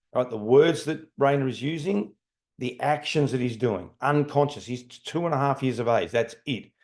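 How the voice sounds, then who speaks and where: A man talks in a plain, everyday voice at a medium pitch with ordinary pitch variation. The background is quiet. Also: moderate pace. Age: 60s. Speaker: leadership trainer. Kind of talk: lecture.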